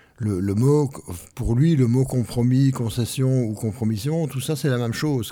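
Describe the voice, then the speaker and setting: A man is speaking. His tone is dark and mellow. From Belgium. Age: old. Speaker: retired radio host and music journalist. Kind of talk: casual chat. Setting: youth centre.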